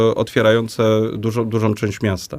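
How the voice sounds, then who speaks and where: On a very clean recording with a silent background, a man's speech keeps a moderate speed. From Poland, Łowicz. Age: 40s. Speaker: mayoral candidate, local politician. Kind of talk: political debate. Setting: radio studio. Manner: halting, many fillers.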